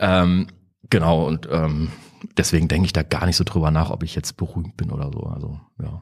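A very deep, low male voice at a moderate pace, with ordinary pitch variation and long, frequent pauses. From Eifel, western Germany. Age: 40s. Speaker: rock guitarist. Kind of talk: interview. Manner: halting.

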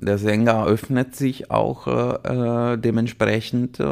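Very slowly, a man with an Italian accent speaks at a medium pitch with fairly even intonation. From Italy, Liguria (Chiavari). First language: Italian (speaking German). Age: 40s. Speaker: orchestra conductor. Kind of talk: casual interview. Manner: halting, many fillers.

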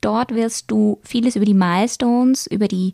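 A woman speaks at a fairly slow pace in a fairly high pitch, with an unremarkable speaking voice. The sound is dry and close, with no echo. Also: very clean recording, silent background. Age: 30s. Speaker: sex educator and podcast host. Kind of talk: educational podcast monologue.

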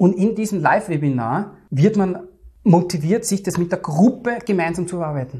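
In a Viennese accent, a man talks at a moderate pace with a high pitch. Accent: Viennese Austrian German. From Austria, Vienna. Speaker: entrepreneur and trading client. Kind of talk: interview.

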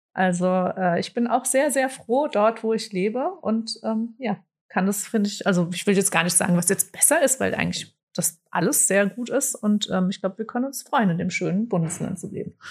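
At a moderate pace with hardly any pauses, a woman speaks at medium pitch, somewhat breathy, with ordinary pitch variation. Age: 40s. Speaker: communications department head. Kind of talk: interview.

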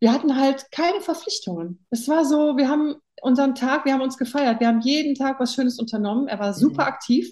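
A dark, mellow tone at a very fast pace, with lively intonation. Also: woman, high pitch for a woman. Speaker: interview guest. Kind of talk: casual chat.

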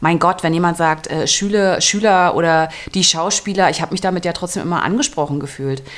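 A woman speaks in a plain, everyday voice. It sits fairly low, with ordinary pitch variation, at a fairly quick pace. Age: 40s. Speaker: actress and podcast co-host. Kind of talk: casual chat. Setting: recording together in a room overlooking the cathedral.

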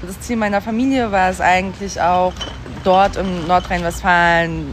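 At a moderate pace, a woman talks over noticeable background noise, with audible echo from the room. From Berlin (East Berlin), born in Siberia. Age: 30s. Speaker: journalist and podcast editor. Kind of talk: interview. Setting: outdoors.

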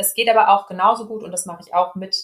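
A woman with a plain, everyday voice at medium pitch and a fairly quick pace. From Ruhr area, Germany (Dortmund). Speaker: speech therapist and team coach. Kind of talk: interview.

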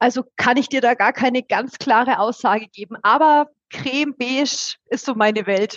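A woman's high voice at a moderate pace, with fairly even intonation. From Upper Franconia, Bayreuth. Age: 30s. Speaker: partner management head at a broker network. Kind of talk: casual interview. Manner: trained clear speech.

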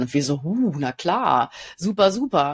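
Very wide pitch swings stand out in this dry, close recording with no echo, very clean and with a silent background. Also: woman. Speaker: podcast host, pattern designer. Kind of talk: casual chat.

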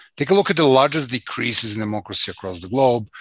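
A man with a Serbian accent talks at a very fast pace, his bright, sharp voice full of lively intonation, in a dry, close sound with no echo over a quiet background. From Serbia, Belgrade. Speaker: activist trainer and consultant. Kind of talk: interview.

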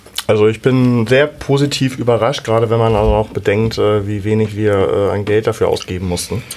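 With hardly any pauses, a man speaks at a moderate pace and medium pitch, his intonation fairly even over noticeable background noise. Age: 40s. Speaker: football fan podcaster. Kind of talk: casual chat.

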